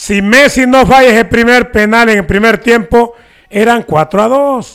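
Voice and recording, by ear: This man has an extremely high pitch with ordinary pitch variation. His tone is clear, smooth and fairly bright, at a fairly slow pace.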